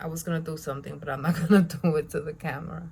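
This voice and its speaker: Over noticeable background noise, a woman with a Spanish accent speaks at a fairly quick pace in a very deep, low pitch. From Spanish-speaking country. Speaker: beauty vlogger. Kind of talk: tutorial. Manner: casual.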